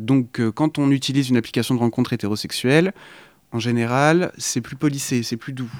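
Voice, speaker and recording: This man has a normal speaking voice at medium pitch, moving at a moderate pace with fairly even intonation. The recording is very clean, with a silent background. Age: 20s. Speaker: radio show guest. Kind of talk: radio discussion.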